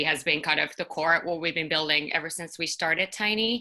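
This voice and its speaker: A woman with a fairly low pitch, a bright, sharp tone, fairly even intonation and a Finnish accent. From Finland. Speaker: startup co-founder. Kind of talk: panel discussion.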